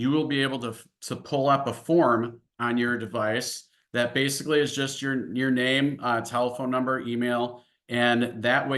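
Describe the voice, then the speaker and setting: This man has a slight Upper Midwest accent and a bright, sharp tone. His intonation is monotone and flat. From US Midwest, Illinois-Wisconsin border. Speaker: financial services executive. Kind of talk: webinar presentation. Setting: online webinar. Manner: many filler words (uh, um).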